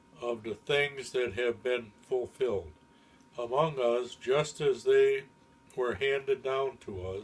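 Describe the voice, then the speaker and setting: A man speaks at a very slow pace in a medium pitch. His voice is somewhat breathy, with ordinary pitch variation. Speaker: grandfather. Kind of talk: Bible reading.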